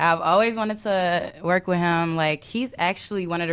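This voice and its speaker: In a very clean recording with a silent background, a woman speaks at a fairly quick pace with a fairly low pitch and ordinary pitch variation. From Chicago, South Side. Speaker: DJ and producer. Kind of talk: interview. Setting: studio. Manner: hesitant.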